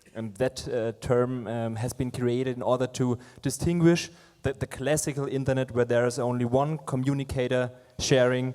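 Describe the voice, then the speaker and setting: A man with a Franconian accent, monotone and flat in intonation, at a moderate pace. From Franconia, Germany. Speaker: fintech product manager, panelist. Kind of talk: panel discussion. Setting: stage with audience. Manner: halting, many fillers.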